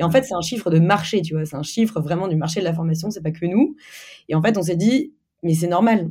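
Somewhat breathy, a woman speaks at a fairly quick pace. Her tone is dark and mellow, with ordinary pitch variation. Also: fairly low pitch for a woman. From Normandy, France (Caen). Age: 20s. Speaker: company CEO. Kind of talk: interview. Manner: casual, hesitant with fillers.

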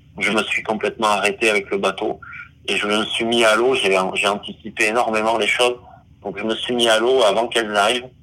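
Speech comes at a fairly quick pace in a flat, monotone delivery, with noticeable background noise. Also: man, medium pitch for a man. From French Basque Country. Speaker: underwater videographer and diver. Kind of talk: interview. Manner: hesitant, many fillers and repetitions.

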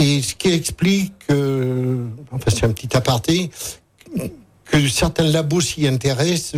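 A man's medium-pitched, somewhat breathy voice at a fairly slow pace with ordinary pitch variation. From Cantal, Auvergne. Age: old. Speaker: retired journalist and farmer. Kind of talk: radio interview.

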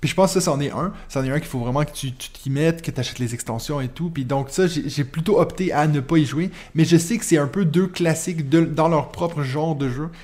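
A man with a Quebec accent talks at a fairly quick pace with hardly any pauses. His voice is fairly high with ordinary pitch variation. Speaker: podcast host. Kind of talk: casual chat.

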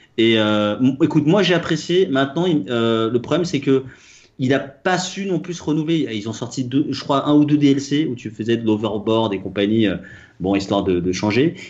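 A man speaks in a normal speaking voice at a medium pitch. His intonation is lively and his pace moderate. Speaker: podcast co-host. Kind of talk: casual chat.

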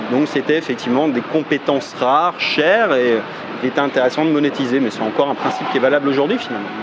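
Noticeable background noise runs under a man speaking at a very fast pace, his pitch fairly high with ordinary variation. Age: 40s. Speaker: internet entrepreneur and marketing youtuber. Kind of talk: interview.

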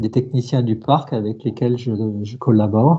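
A man's somewhat breathy voice at a moderate pace. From central France. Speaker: race organizer and sports journalist. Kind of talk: interview. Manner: halting, with frequent repetitions.

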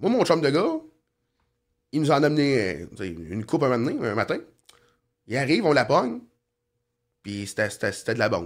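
A man speaks at a moderate pace with a medium pitch and vocal fry. His pitch swings very widely, and he leaves long, frequent pauses. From Quebec, Sorel-Tracy area. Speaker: former criminal, asphalt business owner. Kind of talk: casual interview, life story.

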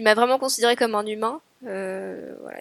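A woman speaks in a fairly high voice. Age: 30s. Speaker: architecture firm assistant, weight-loss surgery patient. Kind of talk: interview testimony.

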